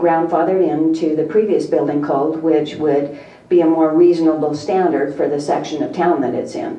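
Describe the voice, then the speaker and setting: Through audible room echo and noticeable background noise, a woman talks with a fairly low pitch and fairly even intonation. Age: 50s. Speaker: real estate agent speaking at public comment. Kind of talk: public comment at council meeting. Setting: city council chamber. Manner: halting.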